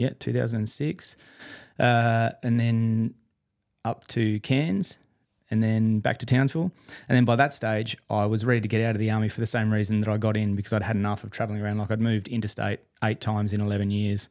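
A man with an Australian accent speaks at a fairly quick pace and a fairly low pitch. His intonation is fairly even, on a very clean recording with a silent background. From Perth, Western Australia. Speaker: electrician and coworking space owner. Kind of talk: interview. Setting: studio.

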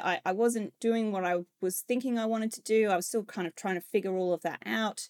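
This very clean recording has a silent background and a dry, close sound with no echo. A woman with an Australian accent talks at a fairly high pitch. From Australia, Queensland. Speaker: project delivery leader. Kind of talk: interview.

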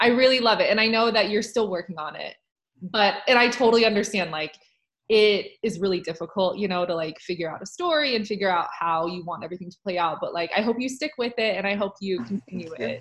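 Her speech is very fast, with lively intonation. The woman's pitch is medium. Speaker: podcast host and author. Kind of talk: casual chat.

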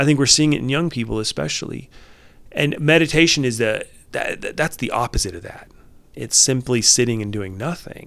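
An unremarkable speaking voice from a man at medium pitch, fairly quick in pace with lively intonation. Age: 40s. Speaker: life coach and former therapist. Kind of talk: casual interview conversation.

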